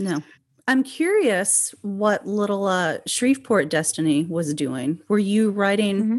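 A woman with an American accent speaks in an ordinary speaking voice at medium pitch, fairly slowly and with lively intonation, against a quiet background. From rural Oklahoma. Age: 40s. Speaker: podcast host. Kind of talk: interview conversation.

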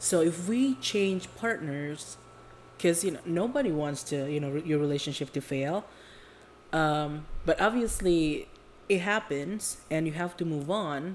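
With an Indonesian accent, a woman speaks at a fairly slow pace, her fairly low voice rising and falling with lively intonation. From Indonesia (Jakarta). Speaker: podcast co-host. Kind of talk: casual chat.

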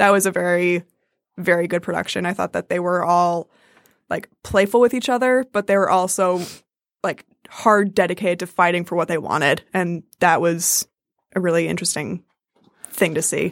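A woman with an American accent and a fairly low voice, ordinary pitch variation, a moderate pace broken by long, frequent pauses, and a dry, close sound with no echo on a very clean recording with a silent background. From New Jersey and Michigan. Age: 20s. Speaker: stage actress. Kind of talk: casual interview.

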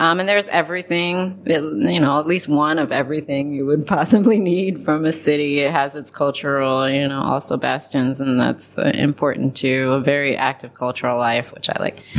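Over noticeable background noise, a woman with a very deep, low pitch and an American accent speaks at a moderate pace with ordinary pitch variation and hardly any pauses. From Ohio, US Midwest (Columbus). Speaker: intellectual property attorney. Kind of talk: casual interview.

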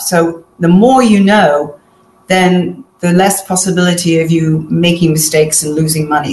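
There is noticeable background noise as a woman with a fairly low pitch speaks. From Manchester, northern England. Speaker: author and fashion business consultant. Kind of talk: interview.

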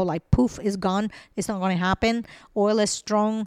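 In a very clean recording with a silent background and a dry, close sound with no echo, a woman with a Spanish accent speaks at a fairly high pitch with fairly even intonation. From Venezuela. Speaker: IT company founder. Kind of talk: interview.

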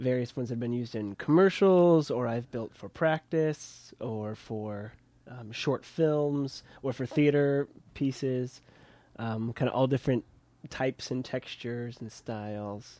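On a very clean recording with a silent background, a man with an American accent talks at a fairly slow pace in a dark, mellow tone. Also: medium pitch for a man, ordinary pitch variation. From Kansas. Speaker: puppeteer. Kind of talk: casual chat. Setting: puppet studio.

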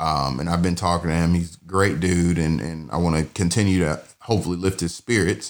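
A man's very deep, low voice in a Southern US accent, fairly quick with hardly any pauses, fairly even in intonation but with big swings in loudness. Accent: Southern US (Georgia). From US South (Georgia, Douglasville near Atlanta). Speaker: podcast host and bird dog trainer. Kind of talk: casual monologue. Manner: casual, many filler words.

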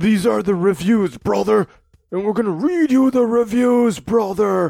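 High-pitched, put-on character voice from a male speaker, delivered at moderate speed

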